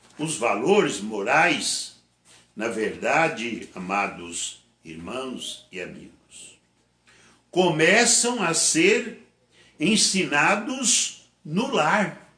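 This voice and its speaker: A man talks very slowly in a high, bright, sharp voice with very wide pitch swings, and the room echo is audible. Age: 70s. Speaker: pastor. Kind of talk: sermon. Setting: online church service.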